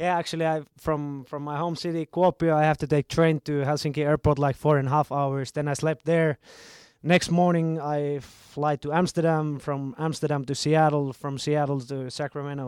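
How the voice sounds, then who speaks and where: A man's fairly high voice in a Finnish accent, monotone and flat at a moderate pace, with a very clean recording, silent background and dry, close sound with no echo. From Finland. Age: 30s. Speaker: professional footballer. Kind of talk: interview.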